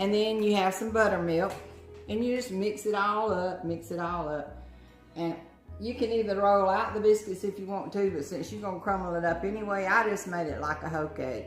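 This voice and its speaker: Over music in the background, a woman speaks at a moderate pace with a medium pitch and ordinary pitch variation. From Southern US. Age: old. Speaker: grandmother. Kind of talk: cooking instruction.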